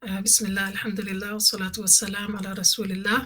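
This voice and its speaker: A woman speaks with a London accent at a medium pitch. Her tone is bright and sharp. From London, England. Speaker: Islamic scholar. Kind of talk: interview. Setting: podcast.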